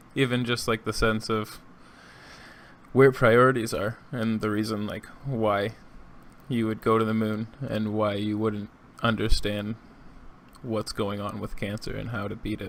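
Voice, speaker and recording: Mumbling at a fairly slow pace, the speaker keeps a monotone, flat intonation broken by long, frequent pauses. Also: man. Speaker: podcast host. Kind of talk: casual chat.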